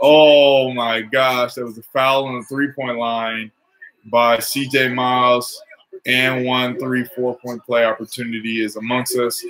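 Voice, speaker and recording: Against light background noise, a man speaks at a fairly slow pace with monotone, flat intonation. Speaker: sports fan commentator. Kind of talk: live sports commentary, casual play-by-play to a tiny live chat. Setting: live stream while watching the game. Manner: casual, off-the-cuff, play-by-play with jokes and reactions. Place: home room. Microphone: webcam.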